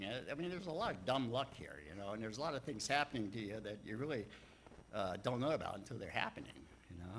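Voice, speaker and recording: A man speaks very fast with an American accent, his pitch swinging very widely. His tone is bright and sharp, with audible room echo. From Texas and Louisiana, later Maryland. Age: 70s. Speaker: church speaker sharing life story. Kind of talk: personal talk to congregation. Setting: church livestream. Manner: halting, many fillers.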